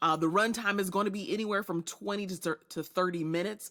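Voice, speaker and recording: An animated tone with ordinary pitch variation. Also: woman. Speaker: podcast host and leadership strategist. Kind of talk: solo podcast monologue. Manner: fast.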